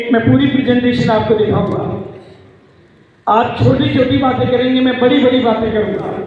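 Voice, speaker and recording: A man with an extremely high pitch speaks with fairly even intonation and very even loudness, with audible room echo and noticeable background noise. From rural India, village. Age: 70s. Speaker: business leader. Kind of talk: motivational speech.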